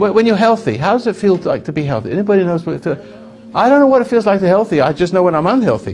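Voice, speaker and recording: Very fast speech from a man with a high pitch and lively intonation, over noticeable background noise. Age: 80s+. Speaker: self-help speaker. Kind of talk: talk to an audience. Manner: halting.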